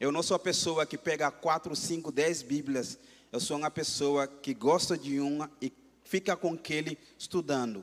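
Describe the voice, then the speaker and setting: A man with a Gambian accent speaks fairly slowly at a fairly high pitch in a very clean recording with a silent background. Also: ordinary pitch variation. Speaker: missionary preacher. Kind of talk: sermon.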